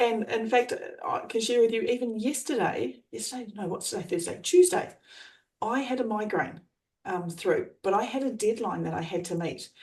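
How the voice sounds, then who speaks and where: With an Australian accent, a woman talks at a moderate pace in a dark, mellow tone. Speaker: trainer and coach. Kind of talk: coaching explanation.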